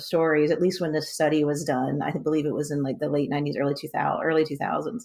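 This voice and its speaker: With a Southern US accent, a woman speaks at a very deep, low pitch on a very clean recording with a silent background. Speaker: podcast co-host. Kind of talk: casual podcast discussion.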